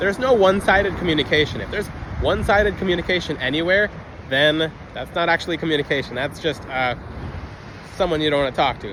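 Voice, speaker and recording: A man speaks at a very fast pace with a high pitch and ordinary pitch variation. Noticeable background noise is present. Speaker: crystal healing video creator. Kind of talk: unscripted monologue. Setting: outdoors on a beach. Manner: occasional stutter; off-the-cuff, unedited.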